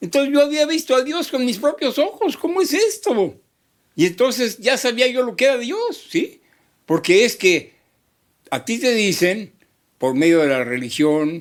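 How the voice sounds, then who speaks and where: At a fairly slow pace, a man speaks with an extremely high pitch and very wide pitch swings. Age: 80s+. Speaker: psychologist. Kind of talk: interview answer.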